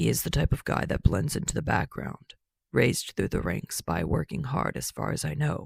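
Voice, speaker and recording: A man puts on a gruff character voice. His pitch swings very widely at a moderate pace. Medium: read story. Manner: blunt, gruff.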